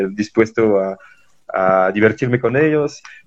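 A man's voice, fairly low in pitch. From France. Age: 20s. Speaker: traveler and environmental volunteer. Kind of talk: interview. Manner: halting.

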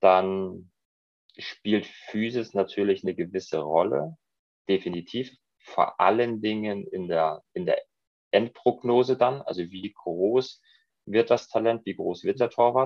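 Speaking very slowly with long, frequent pauses, a man uses a fairly low pitch and ordinary pitch variation. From Germany, Munich (Bavaria). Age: 30s. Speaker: goalkeeper coach. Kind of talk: interview.

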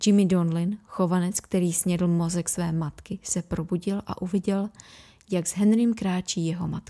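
A woman speaks at a moderate pace in a medium pitch with a dark, mellow tone. Her intonation is flat and monotone, and the recording is very clean with a silent background. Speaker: podcast host. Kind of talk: horror audiobook reading.

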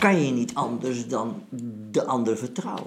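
A man at medium pitch and a fairly slow pace over noticeable background noise. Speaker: retired army general and philosopher. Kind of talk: philosophical conversation.

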